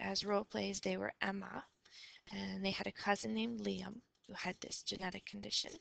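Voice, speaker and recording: She whispers at a fairly quick pace. The speaker is a woman. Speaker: teacher. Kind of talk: lecture. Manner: half whispering; hesitant.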